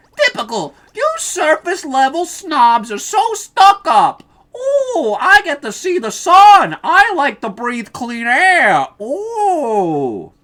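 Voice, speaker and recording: A woman's put-on character voice at an extremely high pitch, with very wide pitch swings, big swings in loudness and a very slow pace. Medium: role play. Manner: mocking, sneering.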